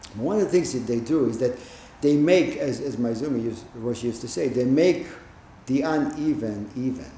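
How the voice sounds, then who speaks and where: In audible room echo, a man speaks with ordinary pitch variation. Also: medium pitch for a man, moderate pace. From Israel. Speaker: Zen teacher. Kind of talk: dharma talk.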